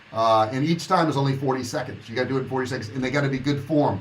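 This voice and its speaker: A man is speaking. The room echo is audible. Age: 60s. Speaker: online business coach. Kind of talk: livestream monologue. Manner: casual, conversational.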